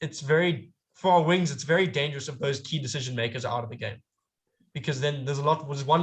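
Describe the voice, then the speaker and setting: A somewhat breathy man at a very fast pace, with fairly even intonation and a quiet background. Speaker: amateur rugby pundit. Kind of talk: casual chat. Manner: halting, self-correcting.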